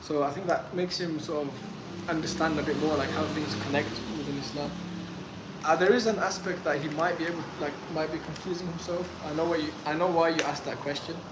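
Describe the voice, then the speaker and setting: A man speaks at a fairly quick pace with a fairly high pitch and fairly even intonation. Audible room echo and noticeable background noise surround him. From UK, born in Afghanistan, moved at five. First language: Pashto. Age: 20s. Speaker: streamer. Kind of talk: live stream Q&A. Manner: hesitant, many fillers.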